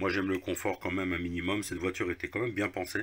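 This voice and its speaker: Very deep, low male speech, fairly quick and fairly even in intonation. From Lorraine, eastern France. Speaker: car repair video maker. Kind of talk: casual tutorial. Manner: casual, hesitant with fillers.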